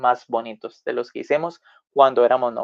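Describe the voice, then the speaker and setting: This man's voice sits fairly high in pitch. His pitch varies in an ordinary way. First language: Spanish. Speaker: language tutor. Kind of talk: tutorial; storytelling language lesson. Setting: live video stream.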